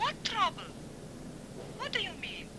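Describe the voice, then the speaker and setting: Over loud background noise, a woman performs a put-on character voice at an extremely high pitch. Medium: short film.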